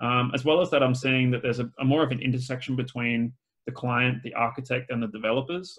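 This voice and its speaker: A man with an Australian accent speaks at a medium pitch. He goes very fast, with fairly even intonation. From Australia (Adelaide). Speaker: BIM specialist and video tutorial creator. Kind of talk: podcast interview. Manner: casual, many fillers and repeats.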